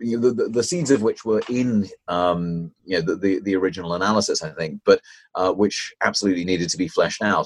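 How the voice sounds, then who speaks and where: With a British accent, the man keeps up a fairly quick pace. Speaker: author, activist, research professor. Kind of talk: interview answers, discussing a book.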